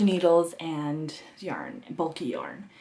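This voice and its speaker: With a Canadian accent, a woman speaks in a fairly low pitch and fairly even intonation. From Canada, Ottawa area (moved there as child). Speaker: knitting podcaster. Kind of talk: casual monologue to camera.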